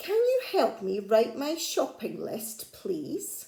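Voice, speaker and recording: A woman puts on a character voice with a gentle tone, high in pitch, with very wide pitch swings and a very slow pace. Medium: read story. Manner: polite, gentle.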